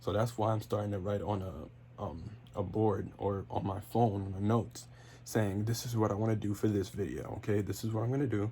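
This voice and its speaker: Here a man talks at a fairly quick pace with a fairly low pitch and a dark, mellow tone. His intonation is lively, with vocal fry. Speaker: wrestling podcaster and YouTuber. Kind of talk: casual solo podcast monologue. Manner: stutters, fillers, free-flowing; off the cuff.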